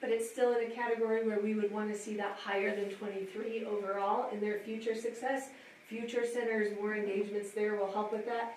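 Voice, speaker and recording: Noticeable background noise runs through the clip. Audible room echo surrounds the voice. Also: woman. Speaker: school administrator presenting survey data. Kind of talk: presentation at a school advisory council meeting.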